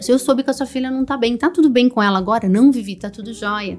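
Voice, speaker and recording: Her delivery as a woman shows ordinary pitch variation. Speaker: HR executive and mentor. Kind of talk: podcast interview. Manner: loud; fast.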